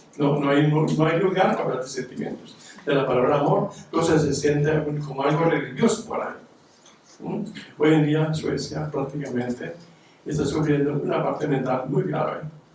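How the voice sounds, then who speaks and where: A man talks at a moderate pace with a fairly high pitch and ordinary pitch variation. Audible room echo and noticeable background noise are present. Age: 80s+. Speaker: audience member, retired psychiatric aide. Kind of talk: audience comment at panel discussion.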